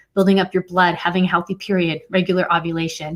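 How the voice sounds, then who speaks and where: A woman speaks in a flat, monotone way. The recording is very clean, with a silent background. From Puerto Rican heritage. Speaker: fertility educator. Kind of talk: live stream Q&A. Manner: fast.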